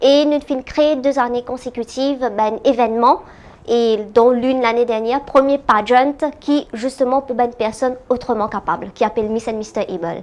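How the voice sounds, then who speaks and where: Her pitch is high, and this woman talks at a moderate pace with ordinary pitch variation. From Madagascar. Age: 30s. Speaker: politician. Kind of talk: interview. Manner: halting, many hesitations.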